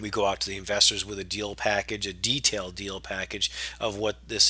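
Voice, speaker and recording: Fairly low in pitch yet bright and sharp in tone, a man speaks at a fairly quick pace. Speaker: real estate investor. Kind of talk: webinar presentation. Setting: webinar. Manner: fast.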